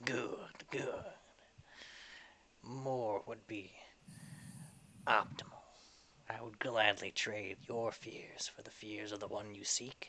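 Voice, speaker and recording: Raspy and put-on, this character voice goes at a very slow pace with long, frequent pauses. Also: man, medium pitch for a man. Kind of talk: archaic, formal. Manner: grumbling, grinning.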